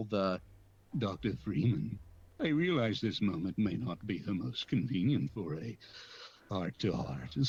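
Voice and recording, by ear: In a put-on character voice, a man speaks gravelly and very deep at a moderate pace, with long, frequent pauses.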